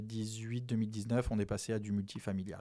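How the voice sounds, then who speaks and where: In a medium pitch for a man, the speaker talks with monotone, flat intonation. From French Antilles. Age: 40s. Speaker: real estate investor. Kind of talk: interview.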